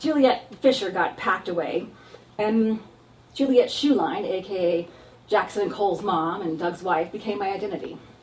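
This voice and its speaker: A woman with an American accent, lively intonation, a moderate pace and noticeable background noise. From Texas and San Diego. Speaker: actor and comedic performer. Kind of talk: stand-up style solo show. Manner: loud.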